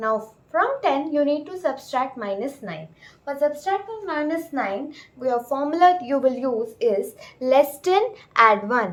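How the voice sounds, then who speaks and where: Slowish and high-pitched, a woman speaks with very wide pitch swings and big swings in loudness. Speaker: abacus teacher. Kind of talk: tutorial.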